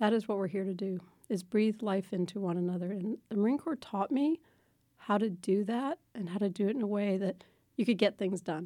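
A woman at a fairly quick pace, medium pitch and ordinary pitch variation, with a dark, mellow tone. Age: 60s. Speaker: business executive, former Marine. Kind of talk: interview. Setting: studio.

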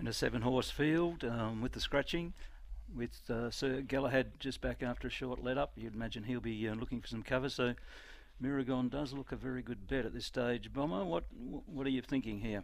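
A man with an Australian accent, medium pitch, ordinary pitch variation and a fairly quick pace. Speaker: co-host, medical sub. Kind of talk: casual chat.

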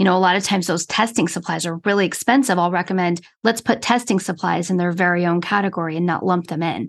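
A woman's normal speaking voice, medium in pitch, moving at a fairly quick pace over a quiet background. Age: 50s. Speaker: therapist and accountant. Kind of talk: casual interview.

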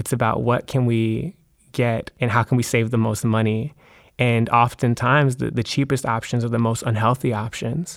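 On a very clean recording with a silent background, a man at medium pitch speaks in a normal speaking voice at a moderate pace with fairly even intonation. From US, Maryland. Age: 20s. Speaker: poet and educator. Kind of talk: interview conversation.

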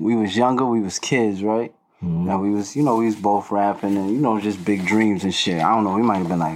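In a New York accent, a man speaks at a moderate pace in a fairly low voice with ordinary pitch variation. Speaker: rapper. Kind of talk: casual chat.

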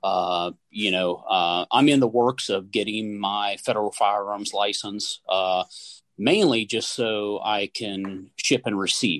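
A man with an Appalachian accent, very slow pace and fairly even intonation against a quiet background. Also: fairly low pitch for a man, dry, close sound with no echo. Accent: Appalachian American. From West Virginia. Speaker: gunsmith and hunter. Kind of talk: casual chat. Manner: halting, many fillers.

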